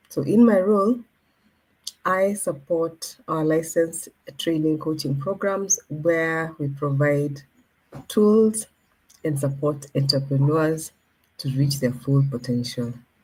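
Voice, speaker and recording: Very slow speech with long, frequent pauses and ordinary pitch variation. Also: woman, very deep, low pitch for a woman. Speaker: moderator / program coordinator. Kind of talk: webinar introduction. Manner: subdued.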